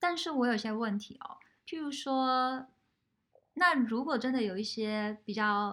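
In a very clean recording with a silent background, a high-pitched woman speaks with lively intonation and a bright, sharp tone. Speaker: podcast host. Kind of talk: casual interview.

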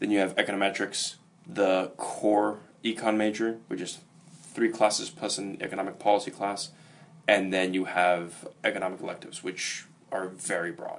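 This man has an unremarkable speaking voice at a fairly low pitch. He talks at a moderate pace with fairly even intonation. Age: 20s. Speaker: student. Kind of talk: interview.

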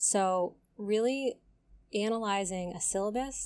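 Fairly slow and with fairly even intonation, a woman speaks in a plain, everyday voice. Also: very clean recording, silent background. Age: 30s. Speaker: podcast host and graduate student. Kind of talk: solo podcast monologue.

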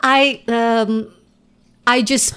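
A woman with an Indonesian accent speaks at a fairly high pitch. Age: 40s. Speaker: former journalist and improv performer. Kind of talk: casual interview.

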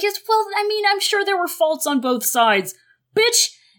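A woman puts on a character voice at an extremely high pitch, swinging very widely up and down at a moderate pace. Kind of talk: comic parody of a character. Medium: solo performance. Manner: hedging, placating, rambling.

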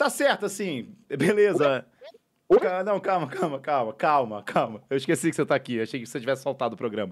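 Fairly quick and fairly high-pitched, a man's voice swings very widely in pitch. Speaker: podcast host. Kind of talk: casual chat. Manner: animated.

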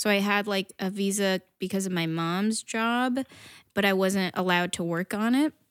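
In a very clean recording with a silent background and a dry, close sound with no echo, a woman with an American accent and a normal speaking voice talks at a moderate pace, medium in pitch with ordinary pitch variation. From northern New Jersey. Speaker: comedian and actress. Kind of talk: casual chat.

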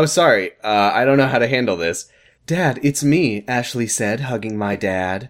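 Straightforward reading aloud, plainly done

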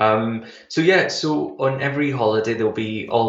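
A man speaks with a Glasgow accent. His pace is moderate. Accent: Scottish (Glaswegian). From Glasgow, Scotland. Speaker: travel company founder. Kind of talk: radio interview.

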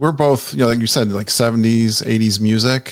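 In an American accent, a man talks at a moderate pace with a medium pitch. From Connecticut. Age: 50s. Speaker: podcaster. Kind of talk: casual chat. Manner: animated.

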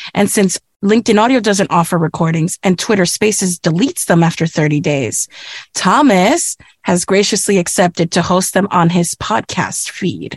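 Very even loudness, ordinary pitch variation and a moderate pace in a dry, close sound with no echo. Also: woman, medium pitch for a woman. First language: Spanish. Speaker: voice artist. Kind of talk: casual chat.

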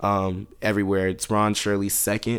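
A man with a fairly low voice is captured very cleanly, with nothing audible behind him. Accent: American. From US South. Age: 20s. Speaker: R&B singer. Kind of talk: casual chat. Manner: animated.

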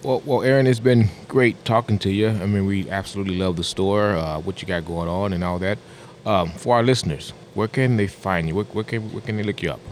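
A man with a normal speaking voice talks fairly quickly at a fairly low pitch, with ordinary pitch variation. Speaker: podcast co-host. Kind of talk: casual interview. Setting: on location in a store.

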